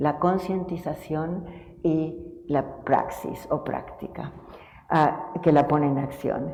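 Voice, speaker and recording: Fairly low-pitched woman's voice with fairly even intonation, noticeable background noise and audible room echo. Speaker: family therapist and professor. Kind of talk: tribute speech. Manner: soft-spoken.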